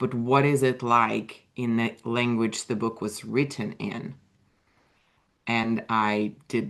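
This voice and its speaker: A woman with a very deep, low pitch talks in a Russian accent. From Russia (USSR). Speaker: author and writing coach. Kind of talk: interview.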